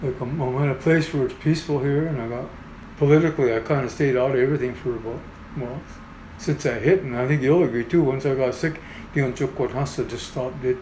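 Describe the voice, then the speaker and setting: A man with a medium-pitched voice speaks very fast with fairly even intonation over noticeable background noise. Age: 60s. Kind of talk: interview storytelling. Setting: in-person interview. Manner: halting, with repetitions.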